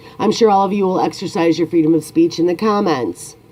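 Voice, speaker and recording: Speaking very rapidly, the woman has an American accent. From United States. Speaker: YouTuber. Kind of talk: opinion monologue.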